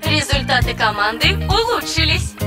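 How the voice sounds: Over faint background music, a woman puts on a character voice, high and bright, sharp in tone, with big pitch swings at a moderate pace.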